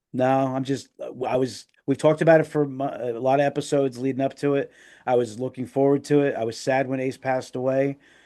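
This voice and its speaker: The tone is dark and mellow. The background stays quiet. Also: man, medium pitch for a man, fairly quick pace. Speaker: podcast co-host. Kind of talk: casual chat. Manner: animated.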